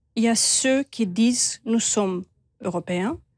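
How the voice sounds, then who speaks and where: A woman's dark, mellow tone in a Romanian accent at a very slow pace, dry and close with no echo, on a very clean recording with a silent background. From Moldova. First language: Romanian (speaking French). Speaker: expert on Moldova. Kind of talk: TV interview.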